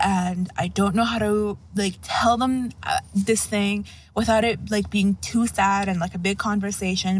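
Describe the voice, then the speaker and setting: At a moderate pace, the somewhat breathy speech keeps a fairly even intonation. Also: woman. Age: 20s. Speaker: listener caller. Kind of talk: voicemail story.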